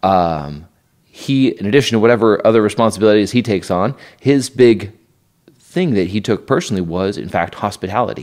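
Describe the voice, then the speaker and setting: With an American accent and a plain, everyday voice, a man speaks at a fairly quick pace, his fairly low pitch carried by lively intonation. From Idaho. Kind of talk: casual interview on faith and family life.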